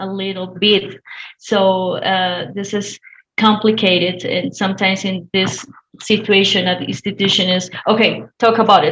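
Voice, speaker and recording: A woman with a Spanish accent speaks at a moderate pace and medium pitch, her intonation fairly even. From Colombia. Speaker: domestic violence counsellor. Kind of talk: webinar discussion. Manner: halting, many fillers.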